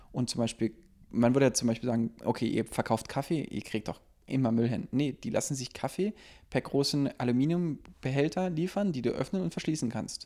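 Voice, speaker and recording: A dark, mellow tone carries lively intonation at a fairly quick pace on a very clean recording with a silent background. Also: man, medium pitch for a man. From Berlin (Lichtenberg). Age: 30s. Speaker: restaurant owner. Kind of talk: casual chat.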